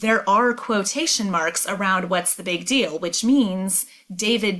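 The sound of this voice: The voice reads in an unforced way, with ordinary pitch variation.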